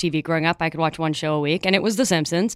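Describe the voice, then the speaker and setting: The speaker has a Midwestern American accent. The sound is dry and close, with no echo. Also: woman. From Chicago, US Midwest. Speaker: comedy writer and sketch performer. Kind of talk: casual chat.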